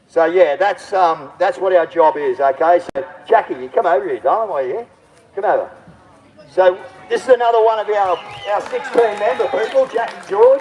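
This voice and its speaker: A man with an Australian accent, high-pitched and animated, at a moderate pace with ordinary pitch variation and noticeable background noise. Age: 60s. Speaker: political candidate and activist livestreamer. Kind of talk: outdoor rally speech to livestream. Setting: outdoors at a protest.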